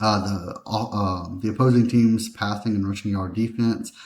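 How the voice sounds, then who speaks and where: Quiet and mumbling, a man speaks at a moderate pace with a fairly low pitch and fairly even intonation, on a very clean recording with a silent background. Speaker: sports betting picks youtuber. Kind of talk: sports betting tutorial. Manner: mumbling a bit. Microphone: laptop mic.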